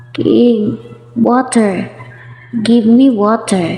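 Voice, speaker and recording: A woman puts on a hoarse character voice with a fairly high pitch and a slight echo. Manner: slow.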